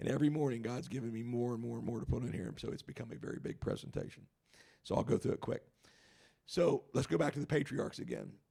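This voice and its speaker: Speaking at a very fast pace, a man has a medium pitch and a dark, mellow tone with vocal fry. His pitch varies in an ordinary way. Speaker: Bible teacher. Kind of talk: Bible study lecture.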